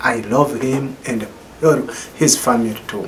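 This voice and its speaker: A man speaks at a medium pitch and a very slow pace. The recording has audible room echo and noticeable background noise. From Burundi, Bujumbura. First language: not English. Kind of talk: memorial tribute speech. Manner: halting, broken English.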